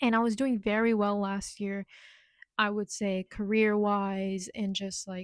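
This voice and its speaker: In a dry, close recording with no echo, a woman speaks at a medium pitch with monotone, flat intonation. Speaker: vlogger. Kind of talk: casual chat. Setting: in her bedroom. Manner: slurring at times; rambling, topic-jumping.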